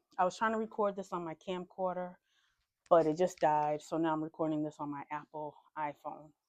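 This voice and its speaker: Here is a woman with a plain, everyday voice, speaking at a moderate pace with fairly even intonation. The background is quiet. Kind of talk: casual interview host talk.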